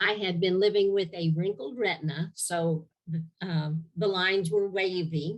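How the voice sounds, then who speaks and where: Very slowly, a woman delivers her words. Her pitch is medium, with ordinary pitch variation. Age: 70s. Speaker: testimonial giver. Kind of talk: testimony. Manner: halting.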